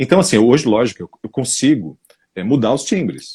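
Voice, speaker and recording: His tone is dark and mellow. The man's intonation stays lively throughout. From São Paulo state interior, Brazil. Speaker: voice-over narrator. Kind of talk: interview. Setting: live stream.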